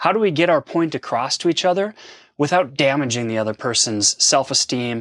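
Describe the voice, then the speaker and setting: Lively intonation carries through at a moderate pace. The recording is very clean and dry, close with no echo and a silent background. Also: man. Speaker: podcast co-host. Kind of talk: casual chat. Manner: animated.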